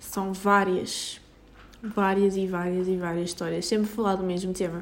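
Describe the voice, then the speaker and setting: A woman with a European Portuguese accent speaks at a fairly slow pace, and audible room echo surrounds her voice. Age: 20s. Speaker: podcaster. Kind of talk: casual monologue. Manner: halting.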